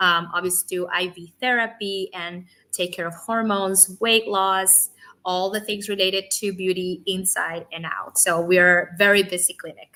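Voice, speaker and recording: With a Spanish accent, a woman speaks at medium pitch and a moderate pace in a bright, sharp tone. Her intonation is monotone and flat, while her loudness swings widely. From Cuba. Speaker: physician assistant and real estate lender. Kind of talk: interview.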